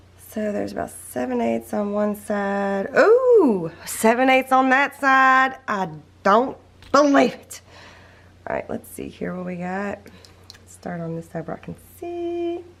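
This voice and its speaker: In a Southern US accent, a woman speaks at a fairly slow pace with big swings in loudness. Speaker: crafting tutorial creator. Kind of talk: tutorial. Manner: casual, chatty.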